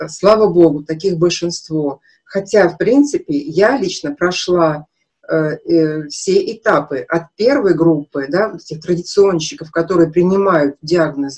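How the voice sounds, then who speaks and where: A woman's fairly low-pitched voice at a fairly slow pace, with big swings in loudness over a quiet background. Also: ordinary pitch variation. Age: 50s. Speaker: nutrition consultant, naturopathy student; naturopath webinar host. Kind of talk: webinar lecture with sales pitch. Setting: live online broadcast. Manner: animated. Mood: frank, emphatic, personal. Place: home room. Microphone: webcam.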